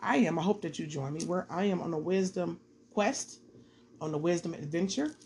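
A somewhat breathy woman with a fairly low pitch and an American accent, at a fairly quick pace. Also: ordinary pitch variation. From Detroit, Michigan. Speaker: podcaster doing Bible study. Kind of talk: casual Bible study talk. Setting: home recording.

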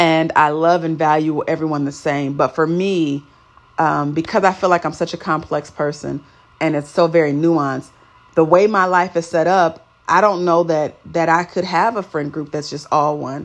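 A woman's normal speaking voice, fairly low in pitch, at a moderate pace with fairly even intonation. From California. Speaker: podcast host. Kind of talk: solo podcast monologue. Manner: casual, laughs often.

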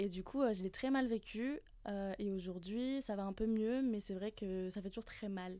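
Speaking at a fairly slow pace, a woman uses a medium pitch, ordinary pitch variation and a dark, mellow tone. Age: 20s. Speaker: internal communications work-study trainee. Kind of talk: casual round-table chat.

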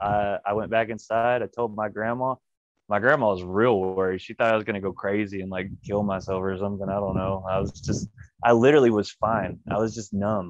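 In a Texan accent, a man talks at a fairly low pitch with fairly even intonation. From West Texas, small town. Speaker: professional wrestler. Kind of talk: interview. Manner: casual.

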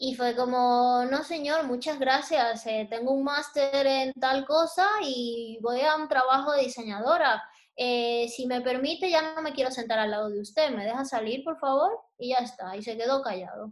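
Hardly pausing at all, a woman speaks at a fairly slow pace in a high pitch with ordinary variation. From Dominican Republic, Santo Domingo. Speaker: interior designer and illustrator. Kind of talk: interview. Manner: calm.

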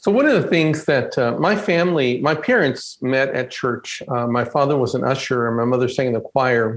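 A man with an American accent and an unremarkable speaking voice talks at medium pitch and a moderate pace, with ordinary pitch variation, very even loudness and hardly any pauses. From Texas (Stafford, near Houston). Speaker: Episcopal priest, church ministry director. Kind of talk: conversational interview, personal testimony.

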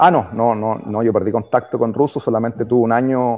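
A man with a dark, mellow tone talks at a moderate pace and medium pitch, his intonation fairly even. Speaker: former footballer. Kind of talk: interview.

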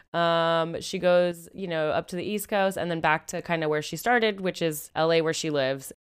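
A woman with an American accent and an unremarkable speaking voice talks at a moderate pace and fairly low pitch, with hardly any pauses. Her intonation is fairly even, and the recording is very clean with a silent background. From Seattle, US Pacific Northwest. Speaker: podcast host. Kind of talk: casual chat.

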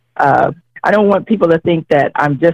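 A woman with an unremarkable speaking voice, fairly low in pitch, with lively intonation in a dry, close sound with no echo. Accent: American. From Ohio, US Midwest (Cincinnati). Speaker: political candidate, educator. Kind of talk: interview.

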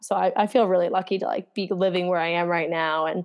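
Fairly quick and with an American accent, a woman talks at a medium pitch with ordinary pitch variation and vocal fry. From New Jersey, US. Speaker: professional runner. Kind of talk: casual interview.

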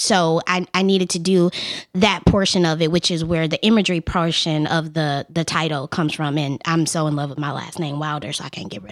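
In a normal speaking voice with an American accent, a woman talks at a fairly quick pace with a fairly low pitch, ordinary pitch variation and big swings in loudness. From Memphis, US South. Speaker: photographer. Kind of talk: casual chat. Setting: studio.

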